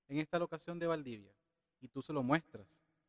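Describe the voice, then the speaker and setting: The voice is a plain, everyday voice. It moves at a moderate pace with ordinary pitch variation. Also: man. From Venezuela. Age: 30s. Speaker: digital marketing specialist. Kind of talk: casual interview.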